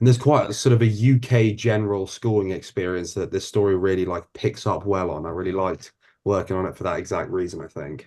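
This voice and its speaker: With a London accent, a man speaks very fast with hardly any pauses, his fairly low voice dark and mellow in tone. His pitch varies in an ordinary way against a quiet background. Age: 20s. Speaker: actor. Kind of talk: interview.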